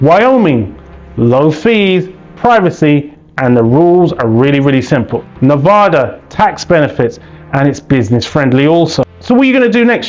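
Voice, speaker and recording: Over background music, a man with a British accent talks at a fairly quick pace in an energetic tone, his fairly high pitch making very wide swings while his loudness stays very even. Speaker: business funding educator, YouTuber. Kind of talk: educational explainer to camera. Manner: energetic, conversational.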